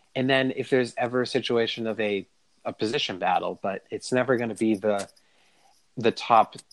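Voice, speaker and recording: A man's normal speaking voice, moderate in pace, with fairly even intonation. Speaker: podcast host. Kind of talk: casual chat.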